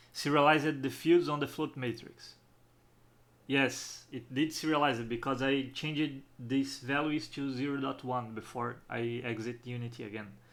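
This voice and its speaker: In a strong non-native accent, a man talks at a moderate pace with a medium pitch and fairly even intonation. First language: not English. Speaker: game developer. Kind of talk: tutorial. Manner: halting.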